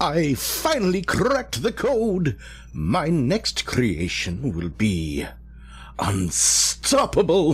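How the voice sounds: A man puts on a character voice at a fairly high pitch. He talks at a very slow pace with very wide pitch swings.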